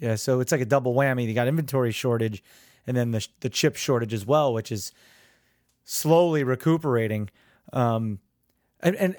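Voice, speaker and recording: A man with a normal speaking voice talks with lively intonation. The recording is very clean with a silent background and a dry, close sound with no echo. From New Jersey. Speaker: podcast host. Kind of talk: casual interview.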